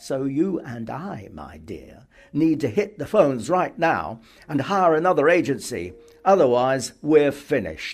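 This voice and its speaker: A man puts on a gruff character voice in a Yorkshire accent, pitched fairly high and delivered at a moderate pace. His intonation is lively, and his loudness swings widely. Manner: gruff, brusque.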